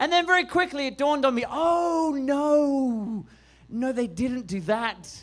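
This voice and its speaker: Lively intonation from a man with an Australian accent and an extremely high pitch. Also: fairly slow pace. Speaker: stand-up comedian. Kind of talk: stand-up. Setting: stage with audience.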